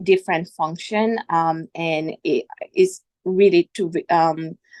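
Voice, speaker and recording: A woman with a non-native accent speaks at a fairly low pitch with ordinary pitch variation. The sound is dry and close, with no echo. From outside the US. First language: not English. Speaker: HR executive, MBA alumnus. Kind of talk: panel discussion. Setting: webinar. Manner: hesitant, many fillers.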